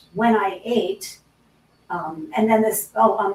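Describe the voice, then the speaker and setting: Behind a woman using ordinary pitch variation, noticeable background noise can be heard. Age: 60s. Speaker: guest sharing healing testimony. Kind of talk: testimony. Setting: live stream. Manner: halting.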